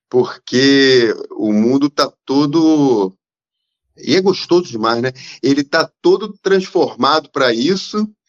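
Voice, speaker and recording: Lively in intonation, a man with a fairly high pitch speaks at a very slow pace. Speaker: playwright. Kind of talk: casual chat.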